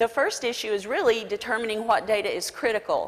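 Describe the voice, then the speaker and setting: Speaking at a fairly quick pace, a woman with a Southern US accent uses lively intonation. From South Carolina. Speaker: business coalition president. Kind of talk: conference talk.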